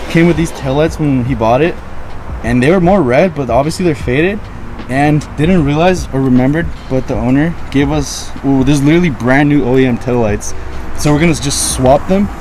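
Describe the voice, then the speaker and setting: A man speaks with ordinary pitch variation at a moderate pace, the sound dry with no echo and light background noise behind it. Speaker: car vlogger. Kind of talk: casual vlog chat. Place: street. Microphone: phone near.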